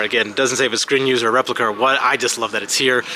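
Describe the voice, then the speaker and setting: A man speaks at a medium pitch. Noticeable background noise runs under his voice. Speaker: travel vlogger. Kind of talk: walking tour vlog. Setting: indoor museum with music playing. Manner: speaking loudly over music; animated.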